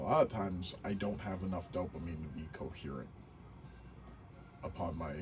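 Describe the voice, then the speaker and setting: A man with a very deep, low pitch, with audible room echo and music in the background. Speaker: gaming vlogger. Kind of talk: casual gameplay commentary. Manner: halting, with many ums and uhs.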